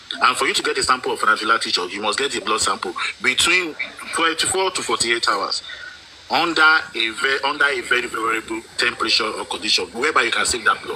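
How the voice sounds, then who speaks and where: Over noticeable background noise, a man with a Nigerian accent talks at a very fast pace. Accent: Nigerian (Yoruba) English. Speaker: panelist. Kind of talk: heated debate. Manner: animated; halting.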